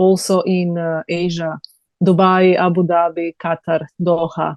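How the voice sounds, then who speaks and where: A woman speaks with a Serbian accent at a fairly slow pace. Her pitch is fairly low, and her intonation stays monotone and flat. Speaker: TV host and journalist. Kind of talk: interview. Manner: halting.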